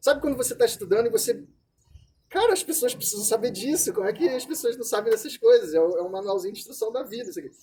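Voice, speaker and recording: Speaking very fast with lively intonation, a man uses an extremely high pitch. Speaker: psychologist. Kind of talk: lecture.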